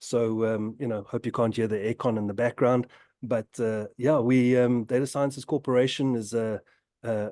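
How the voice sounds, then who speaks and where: A speaker with a South African accent talks at a moderate pace in a dark, mellow tone with fairly even intonation. The sound is dry and close with no echo, over a quiet background. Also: man. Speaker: tech company innovation lead. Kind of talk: webinar discussion. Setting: video webinar. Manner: halting, many fillers.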